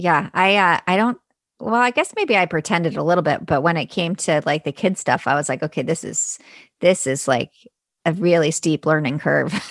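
A woman with an unremarkable speaking voice talks at a moderate pace, her fairly low pitch moving with ordinary variation, in a dry, close sound with no echo over a quiet background. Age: 40s. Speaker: foster and adoptive parent. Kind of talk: casual chat.

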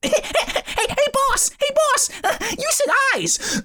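A man puts on a squeaky character voice at an extremely high pitch. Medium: actual play. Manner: brash, fawning.

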